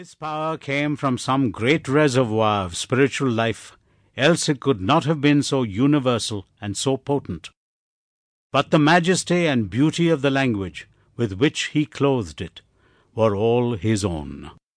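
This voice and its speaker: A man with an ordinary speaking voice talks at a fairly slow pace in a medium pitch with lively intonation. The sound is dry and close with no echo, over a quiet background. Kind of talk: audiobook narration. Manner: formal, measured, solemn.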